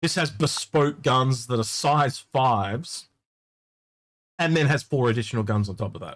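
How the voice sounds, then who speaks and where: Somewhat breathy male speech with an Australian accent, medium pitch, ordinary pitch variation and a moderate pace. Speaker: gaming livestream co-host. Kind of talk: casual chat.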